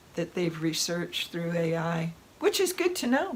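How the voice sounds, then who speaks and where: The intonation here is lively, at a moderate pace. Noticeable background noise sits under the voice. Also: woman. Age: 70s. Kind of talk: casual talk to camera. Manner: animated.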